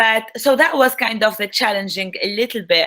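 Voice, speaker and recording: A woman with an Arabic accent speaks at a moderate pace with ordinary pitch variation. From Tunisia. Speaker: Arabic language instructor. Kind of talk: online talk.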